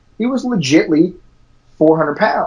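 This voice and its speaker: A man speaks at a moderate pace with an American accent. His intonation is lively. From Washington DC. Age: 40s. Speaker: jiu-jitsu academy owner. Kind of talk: casual interview chat.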